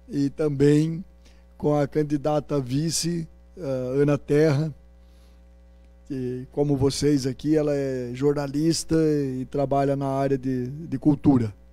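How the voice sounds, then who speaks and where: A man with a fairly high voice talks very slowly in a flat monotone while music plays in the background. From Paraná, Brazil (Rolândia). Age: 60s. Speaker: politician, candidate. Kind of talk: campaign interview. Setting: university event with audience.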